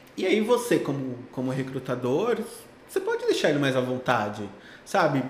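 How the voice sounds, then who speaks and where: A man's fairly high, lively voice at a moderate pace, with audible room echo and noticeable background noise. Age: 30s. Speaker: tech recruiter. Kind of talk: casual interview.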